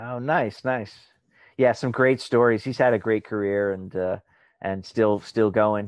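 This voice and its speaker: Speaking with an American accent, a man uses a fairly low pitch and fairly even intonation at a fairly slow pace. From Long Island, New York. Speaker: actor. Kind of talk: casual chat. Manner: halting.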